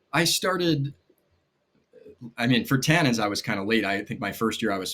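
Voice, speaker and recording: A man's ordinary speaking voice at a moderate pace with lively intonation, on a very clean recording with a silent background. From New York, Rockland County. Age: 30s. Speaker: magician and children's author. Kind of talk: casual chat.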